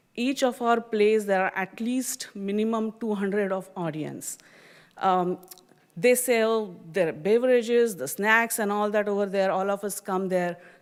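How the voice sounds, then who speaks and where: A woman speaks at a medium pitch with ordinary pitch variation. Her pace is fairly slow. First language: not English, an Indian regional language. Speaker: community theater volunteer, public commenter. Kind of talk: public comment at council meeting. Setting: city council chamber.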